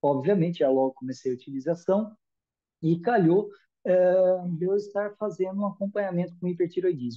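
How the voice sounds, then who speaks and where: With a Brazilian accent, a man speaks at a moderate pace in a high pitch with ordinary pitch variation. His tone is dark and mellow, and the background is quiet. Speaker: product user giving testimonial. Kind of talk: testimony. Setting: video call, live. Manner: hesitant, repeats words. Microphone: video call.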